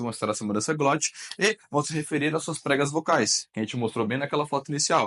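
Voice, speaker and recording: A man speaks very fast in an animated tone. His pitch sits fairly high. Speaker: teacher. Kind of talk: lecture.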